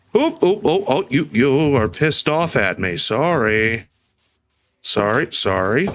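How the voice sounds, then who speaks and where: Talking at a very slow pace, a man uses vocal fry and very wide pitch swings. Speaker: vtuber streamer. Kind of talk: casual gaming stream commentary.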